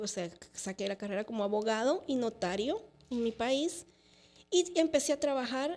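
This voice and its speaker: Her intonation lively and her pitch fairly high, a woman speaks at a fairly slow pace. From El Salvador. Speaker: lawyer and entrepreneur; lawyer. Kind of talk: testimony. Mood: reflective, sometimes sad. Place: studio. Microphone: studio mic.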